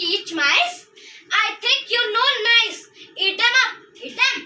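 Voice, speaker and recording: A female-sounding put-on character voice at an extremely high pitch moves at a fairly slow pace, with a slight echo. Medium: stage play. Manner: incredulous, scolding.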